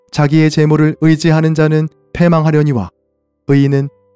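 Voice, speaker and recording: Heard over background music in a dry, close recording with no echo, the voice moves at a moderate pace with fairly even intonation. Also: man. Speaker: pastor. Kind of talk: Bible reading.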